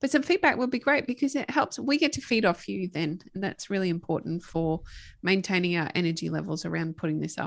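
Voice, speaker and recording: A woman with a medium pitch and vocal fry talks at a fairly quick pace, her pitch swinging very widely, on a very clean recording with a silent background. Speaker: podcast co-host. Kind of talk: casual chat. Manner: clear enunciation.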